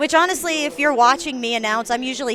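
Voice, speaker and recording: A woman speaks with a Southern US accent and ordinary pitch variation. There is noticeable background noise. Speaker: roller derby announcer. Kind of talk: live commentary. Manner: casual, chatty.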